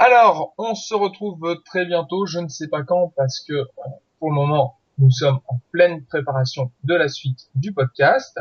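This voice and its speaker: A man speaks fairly slowly in an ordinary speaking voice, his fairly high pitch moving with lively intonation. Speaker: podcast host. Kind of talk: podcast outro and announcements.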